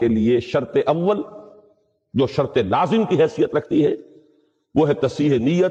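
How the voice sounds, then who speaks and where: A man's fairly high-pitched voice with very wide pitch swings. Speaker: Islamic scholar giving a Quran lecture. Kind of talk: religious lecture (bayan).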